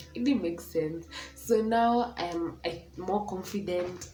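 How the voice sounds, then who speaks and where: The pace is very slow. Audible room echo and noticeable background noise are present. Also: woman. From Kenya. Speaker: vlogger. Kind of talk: casual chat. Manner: loud.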